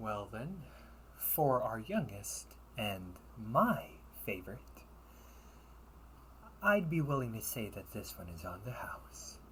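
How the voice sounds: A put-on character voice with a bright, sharp tone moves slowly through big pitch swings. Long pauses come often. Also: man, fairly low pitch for a man.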